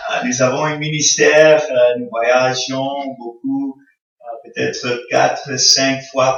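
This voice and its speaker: A man speaks at a very slow pace. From Congo (American missionary family). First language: English (speaking French). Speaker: visiting pastor. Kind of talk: sermon. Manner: halting, many hesitations.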